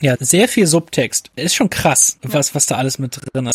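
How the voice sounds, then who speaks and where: Somewhat breathy man at a moderate pace with ordinary pitch variation, dry, close sound with no echo, very clean recording and silent background. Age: 20s. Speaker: film critic. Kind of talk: casual chat.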